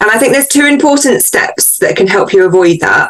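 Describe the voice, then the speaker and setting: This is a woman speaking in a British accent. Noticeable background noise is present. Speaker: book editor. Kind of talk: interview. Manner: animated.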